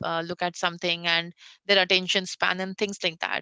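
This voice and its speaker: Against a quiet background, a woman with an Indian accent speaks at a medium pitch in a bright, sharp tone, the sound dry and close with no echo. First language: Hindi. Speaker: conversational AI designer. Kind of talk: interview on tech panel. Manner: frequent fillers (uh).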